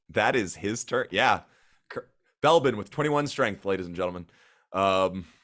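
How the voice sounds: Lively intonation marks a natural reading voice. Behind it, the background is quiet.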